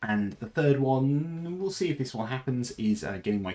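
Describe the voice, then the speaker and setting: A man with an English accent, at a moderate pace, with very wide pitch swings. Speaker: streamer. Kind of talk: casual chat. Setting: live stream. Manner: halting.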